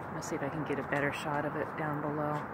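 Noticeable background noise is present. The recording is dry, without any echo. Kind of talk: casual commentary. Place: street. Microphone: phone near.

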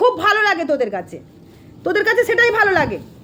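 Over noticeable background noise, a woman speaks in an animated tone at an extremely high pitch. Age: 30s. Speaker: temple devotee YouTuber. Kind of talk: angry rant. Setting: temple.

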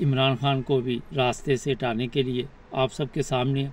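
A man speaks at a fairly slow pace with monotone, flat intonation in a dry sound with no echo. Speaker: political commentator. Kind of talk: commentary. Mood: serious, concerned. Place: car. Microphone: phone near.

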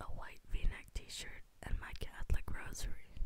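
Whispering comes from a female speaker. Her pace is fairly slow. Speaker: ASMR creator. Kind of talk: reading own novel excerpt. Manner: whispered. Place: home room. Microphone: studio mic.

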